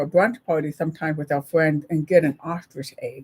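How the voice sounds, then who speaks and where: A woman with an ordinary speaking voice talks at a moderate pace with ordinary pitch variation, the sound dry and close with no echo. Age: 60s. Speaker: live-stream co-host. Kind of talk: casual chat. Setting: live stream.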